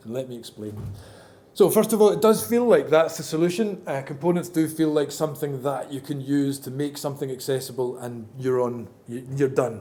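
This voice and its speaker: This man has a fairly high pitch and lively intonation, speaking at a fairly quick pace. His loudness swings widely, and there is audible room echo. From Scotland. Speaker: accessibility consultant and conference speaker. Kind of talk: conference talk. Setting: stage with audience. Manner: casual, hesitant with many fillers.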